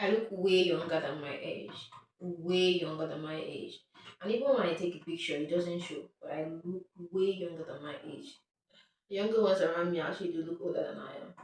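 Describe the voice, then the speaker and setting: A woman's fairly low voice, a normal speaking voice, with ordinary pitch variation, big swings in loudness and a fairly quick pace. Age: 20s. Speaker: vlogger. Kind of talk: personal vlog.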